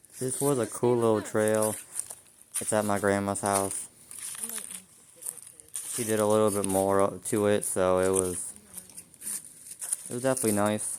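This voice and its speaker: A man with a fairly low pitch talks at a moderate pace with fairly even intonation. He takes long, frequent pauses over noticeable background noise. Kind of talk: casual vlog narration. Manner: emotional.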